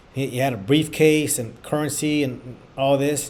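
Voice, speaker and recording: A man with a fairly high pitch speaks with audible room echo. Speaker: bar exam prep instructor. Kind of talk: online tutorial. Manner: stammering, repeating words.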